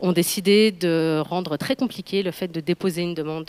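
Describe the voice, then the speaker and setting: At a fairly quick pace, a woman speaks with a fairly low pitch and ordinary pitch variation. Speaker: public health practitioner at an NGO. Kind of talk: conference presentation. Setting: round table with audience. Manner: fast.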